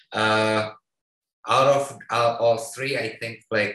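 Very slowly, a man with an Indonesian accent speaks at a medium pitch in a bright, sharp tone. His intonation stays fairly even. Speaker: artist collective member. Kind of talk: presentation. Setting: video call.

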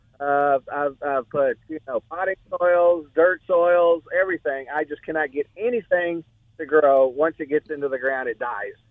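In an unremarkable speaking voice, a man with an American accent talks at a moderate pace. His pitch is fairly high and varies an ordinary amount. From Texas (Corpus Christi). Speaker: caller. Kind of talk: call-in question. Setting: phone call.

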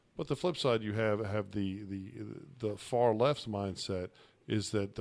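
A man talks in an ordinary speaking voice, fairly low in pitch with ordinary pitch variation. His pace is moderate. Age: 40s. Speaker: attorney and radio host. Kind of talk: casual political debate.

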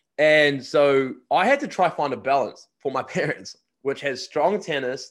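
On a very clean recording with a silent background, a man with a fairly high voice and a New Zealand accent speaks with ordinary pitch variation. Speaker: podcast host and college recruiting agent. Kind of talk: casual interview.

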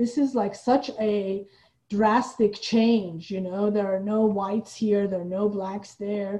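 At a fairly slow pace, a woman speaks at medium pitch, somewhat breathy. Her tone is dark and mellow, and her intonation is fairly even. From Iran. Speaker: playwright and theater founder. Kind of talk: casual interview chat.

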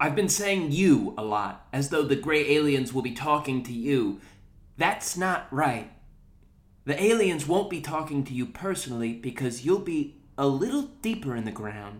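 A man with an American accent and an ordinary speaking voice talks at a moderate pace, with a fairly high pitch and lively intonation. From New Jersey. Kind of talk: comedic monologue.

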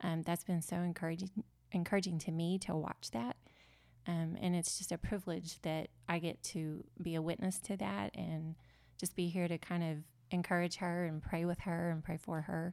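A woman talks at a moderate pace with a fairly low pitch and very even loudness. The recording is very clean, with a silent background. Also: ordinary pitch variation. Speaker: campus ministry worker. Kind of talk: interview. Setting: studio. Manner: cheerful.

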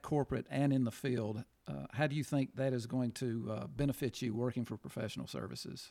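A man with an unremarkable speaking voice talks at a moderate pace and medium pitch with ordinary pitch variation, the sound dry and close with no echo on a very clean recording with a silent background. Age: 50s. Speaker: podcast co-host. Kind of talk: casual chat.

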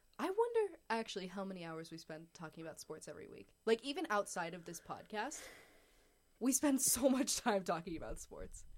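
The speech moves at a fairly quick pace with very wide swings in pitch. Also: woman, medium pitch for a woman. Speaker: sports podcast co-host, university student. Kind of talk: casual chat.

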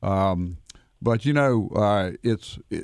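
A man with an ordinary speaking voice, fairly low in pitch, with ordinary pitch variation, on a very clean recording with a silent background. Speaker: attorney, wills and estates. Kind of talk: radio interview.

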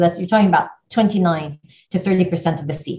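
Her pitch is medium, with ordinary variation. The woman's voice sounds somewhat breathy. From Iraq, left age six. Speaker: newspaper editor. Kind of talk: interview.

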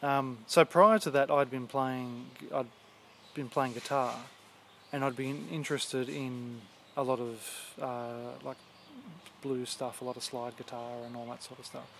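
With an Australian accent, a man speaks at a medium pitch and a fairly slow pace, his intonation fairly even. He leaves long, frequent pauses, and his loudness swings widely. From Western Sydney, Australia. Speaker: banjo player. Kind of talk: casual interview. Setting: outdoors, backyard. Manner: halting, many fillers.

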